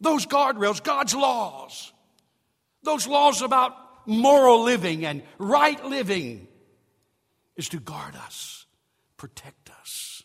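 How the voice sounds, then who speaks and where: A man speaks at an extremely high pitch and a very slow pace, with lively intonation and big swings in loudness. Long, frequent pauses break up his speech. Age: 70s. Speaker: pastor. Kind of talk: sermon. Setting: church.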